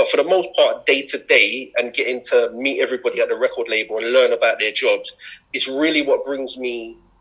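A man talks at a fairly quick pace. He speaks with a south London accent. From London (Brixton). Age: 40s. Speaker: former MC, creative company founder. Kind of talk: casual interview. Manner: hesitant, many fillers.

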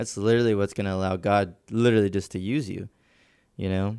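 In a very clean recording with a silent background, a man with a normal speaking voice talks at a fairly quick pace, his fairly low pitch following fairly even intonation. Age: 20s. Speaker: church media team podcast host. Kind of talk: casual chat about faith.

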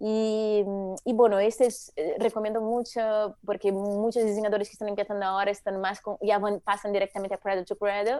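Over a quiet background, a woman talks at a fairly quick pace in a dark, mellow tone with monotone, flat intonation. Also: medium pitch for a woman. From Brazil. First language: Portuguese (speaking Spanish). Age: 40s. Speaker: eco-designer. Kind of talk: interview.

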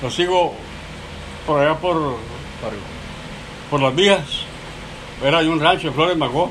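Over noticeable background noise and audible room echo, a man speaks at a very slow pace with fairly even intonation and long, frequent pauses. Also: fairly high pitch for a man. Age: 70s. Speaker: grandfather telling stories. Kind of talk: casual storytelling.

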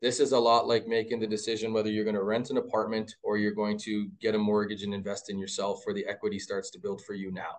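A man talks very fast with a Canadian accent. He hardly pauses at all. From Mississauga, Ontario, Canada. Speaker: men's university basketball head coach. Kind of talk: casual interview.

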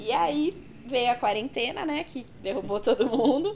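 A woman's ordinary speaking voice at a moderate pace, with lively intonation. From São Paulo ABC region, Brazil. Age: 20s. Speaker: body piercer. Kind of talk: casual interview.

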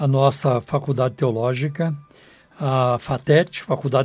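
At a fairly slow pace, a man talks in a fairly high pitch with fairly even intonation. His voice is somewhat breathy. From Brazil, southern Minas Gerais. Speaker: pastor and radio host. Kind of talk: sermon. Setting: radio studio.

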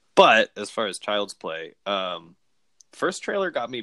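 Fairly slow speech from a man with an American accent, in a very clean recording with a silent background and a dry, close sound without echo. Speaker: podcast co-host, movie fan.

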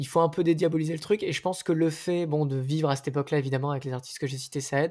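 A man's fairly high voice holds a fairly even intonation on a very clean recording with a silent background. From Nice, southern France. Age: 20s. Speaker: singer. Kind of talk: casual chat.

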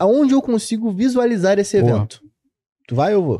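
With a dark, mellow tone and very wide pitch swings, a man talks at a fairly quick pace in a dry, close recording with no echo. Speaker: podcast co-host, digital analytics educator. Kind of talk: casual chat about analytics, answering questions. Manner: casual.

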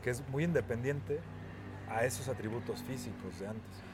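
A man with a Mexican accent talks at a fairly quick pace in a medium pitch with vocal fry. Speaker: podcast co-host. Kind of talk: casual chat.

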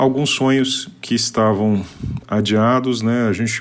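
A man with an unremarkable speaking voice, fairly even intonation and a fairly slow pace. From Paraná, Brazil. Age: 40s. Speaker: civil servant. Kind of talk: testimony.

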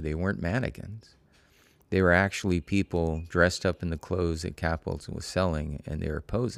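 On a very clean recording with a silent background, a man with an American accent speaks at a fairly quick pace in a very deep, low pitch with ordinary pitch variation. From Oakland, California. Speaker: boogaloo dancer. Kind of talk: casual interview.

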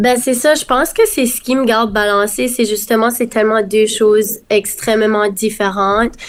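Speaking with an Acadian accent, a woman keeps a moderate pace and a fairly high pitch, with fairly even intonation and hardly any pauses. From Acadia, Dieppe, New Brunswick. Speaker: singer and nursing student. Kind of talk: casual interview.

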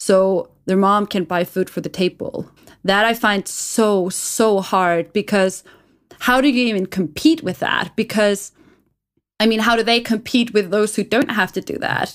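This is a woman with a normal speaking voice at a medium pitch. She talks at a fairly slow pace with ordinary pitch variation. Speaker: podcast co-host. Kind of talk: casual chat. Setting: remote call.

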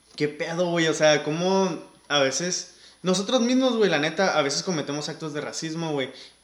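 There is noticeable background noise as a man talks at a moderate pace and a fairly high pitch. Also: ordinary pitch variation. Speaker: podcast host. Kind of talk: casual chat.

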